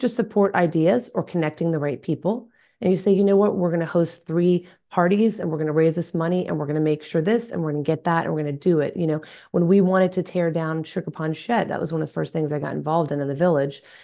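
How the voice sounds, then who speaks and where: A woman's fairly low, dark, mellow voice with an American accent, very fast pace and ordinary pitch variation, over a quiet background. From US South, Atlanta, Georgia. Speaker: local party committee chair. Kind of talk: interview conversation.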